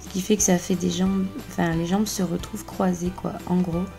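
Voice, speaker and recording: With music in the background, the delivery keeps a moderate pace. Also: woman. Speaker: contortionist. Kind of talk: voice-over exercise tutorial. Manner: casual, chatty.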